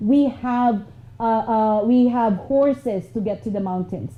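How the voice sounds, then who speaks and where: A woman with a Filipino accent, fairly high in pitch, at a fairly slow pace. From Philippines. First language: Filipino language. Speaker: motivational speaker. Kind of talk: motivational talk.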